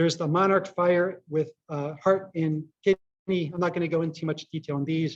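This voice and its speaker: High for a man, his voice runs in a monotone with flat intonation and hardly any pauses. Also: moderate pace. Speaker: acupuncturist and author. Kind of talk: conference lecture. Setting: conference hall with audience. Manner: hesitant, many fillers.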